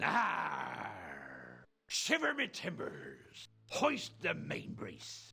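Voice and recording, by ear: A man puts on a character voice and delivers his words at a very slow pace.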